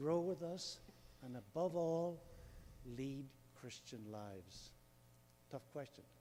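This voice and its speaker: Speaking at a fairly slow pace, a man with a fairly high pitch and a dark, mellow tone uses lively intonation. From Northern Ireland. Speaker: audience member asking a question. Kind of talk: audience Q&A.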